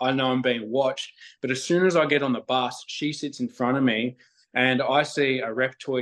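Speaking with an Australian accent, a man keeps a moderate pace and fairly even intonation. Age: 20s. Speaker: spiritual nature guide. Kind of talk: casual chat.

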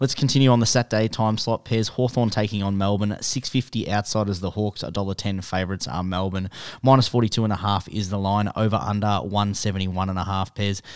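In an Australian accent, a man talks very fast with hardly any pauses, his fairly low voice keeping a fairly even intonation. The recording is very clean, with a silent background. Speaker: sports betting podcast co-host. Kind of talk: casual chat.

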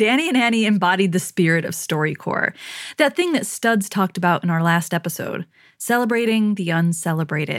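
Over a very clean recording with a silent background, a woman at medium pitch speaks at a fairly quick pace with lively intonation, an unremarkable speaking voice. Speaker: podcast host. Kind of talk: scripted narration.

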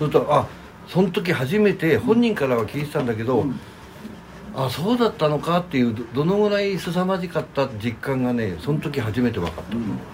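A man's fairly high voice at a fairly quick pace, with very wide pitch swings, audible room echo and noticeable background noise. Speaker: host's brother-in-law, kimono shop owner. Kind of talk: casual chat. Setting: backstage dressing room after a concert.

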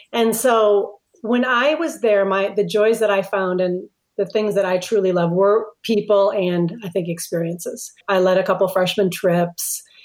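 A woman with an American accent has a plain, everyday voice at medium pitch. She talks at a fairly slow pace with very even loudness and ordinary pitch variation. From Minnesota (Minneapolis). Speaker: retired pastor. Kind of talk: interview conversation.

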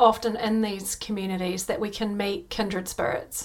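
A woman with an ordinary speaking voice, at a moderate pace. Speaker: podcast host and coach. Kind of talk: interview chat with promo reads.

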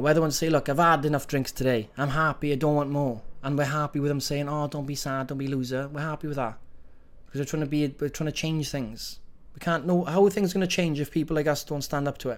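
A man with a Welsh accent and fairly high pitch, speaking at a very fast pace with fairly even intonation. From Wales. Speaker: fitness coach. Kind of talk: motivational talk to program participants. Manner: encouraging, conversational.

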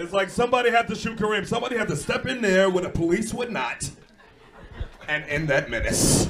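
With a New York accent, a man talks in a high voice with lively intonation at a fairly quick pace. Background noise is noticeable. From New York (Brooklyn). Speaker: comedian and podcast host. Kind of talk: comedic banter. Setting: stage with audience.

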